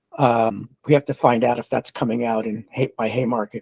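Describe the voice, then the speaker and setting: In a dry, close sound with no echo, a man with an American accent talks at a fairly quick pace. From New York. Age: 60s. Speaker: forum moderator, labor activist. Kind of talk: panel introduction. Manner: halting, many fillers.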